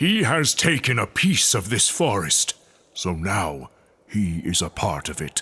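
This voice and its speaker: A put-on character voice moves at a fairly slow pace in a solemn tone. Its pitch swings very wide. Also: man, fairly low pitch for a man. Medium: audio drama. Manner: solemn, grave.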